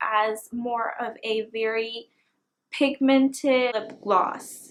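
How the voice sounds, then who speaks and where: A woman's high voice at a very slow pace with fairly even intonation. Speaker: beauty vlogger. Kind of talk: casual product review to camera.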